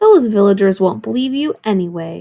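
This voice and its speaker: A put-on character voice, female-sounding, at a middle pitch and moderate pace, rumbling and growling. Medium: read story. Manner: grumbling.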